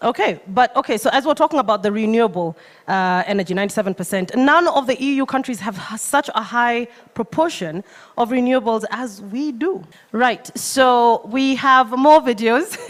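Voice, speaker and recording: A woman's high-pitched voice at a moderate pace, with lively intonation. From Kenya. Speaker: event host. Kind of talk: live event hosting. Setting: stage.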